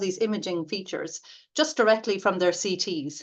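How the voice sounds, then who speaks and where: A woman's medium-pitched voice in an Irish accent, with ordinary pitch variation, a moderate pace and a quiet background. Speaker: radiation therapy academic. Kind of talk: lecture. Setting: webinar. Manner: hesitant, many fillers.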